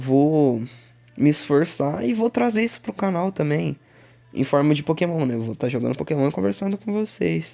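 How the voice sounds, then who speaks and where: Against a silent background in a very clean recording, a man speaks at a moderate pace in a dark, mellow tone, his fairly high pitch swinging very widely. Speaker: gaming YouTuber. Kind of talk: voice-over narration of gameplay. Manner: halting.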